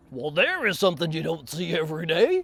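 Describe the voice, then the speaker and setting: This speaker uses a put-on character voice pitched in the middle range. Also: fairly quick pace. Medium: read story.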